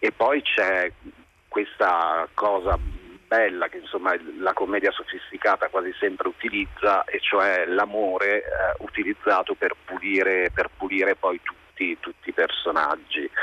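Speaking at a fairly slow pace with long, frequent pauses, a man sounds dry and close with no echo, over noticeable background noise. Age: 40s. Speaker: film director. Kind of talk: casual chat.

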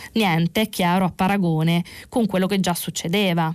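A woman talks in a normal speaking voice at a medium pitch. Her pace is moderate and her pitch variation ordinary. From Italy, Naples. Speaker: journalist presenting press review. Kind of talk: radio press review and call-in. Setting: radio studio.

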